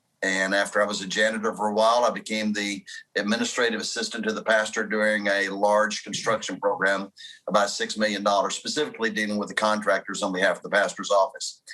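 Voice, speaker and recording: A man's bright, sharp tone at a fairly low pitch, flat and monotone, delivered at a very fast pace. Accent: American. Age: 60s. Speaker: pastor. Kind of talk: interview testimony.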